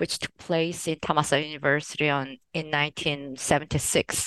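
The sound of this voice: A woman's voice with a fairly bright tone sounds dry and close, with no echo.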